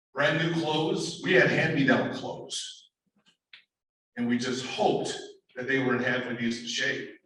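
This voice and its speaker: Amid audible room echo, a man with an American accent and a fairly high pitch talks at a moderate pace, broken by long, frequent pauses. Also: ordinary pitch variation. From upstate New York. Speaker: motivational speaker and professor. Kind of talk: keynote speech. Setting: auditorium with student audience. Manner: animated.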